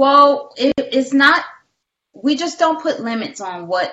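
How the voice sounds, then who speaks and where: She has an American accent. The woman's voice sits fairly high. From Detroit, US. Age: 40s. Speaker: caregiver and nonprofit founder. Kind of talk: interview.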